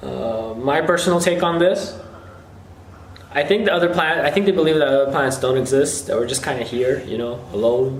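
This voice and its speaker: Over noticeable background noise and audible room echo, a man speaks at medium pitch with lively intonation. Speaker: YouTuber. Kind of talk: casual Q&A video.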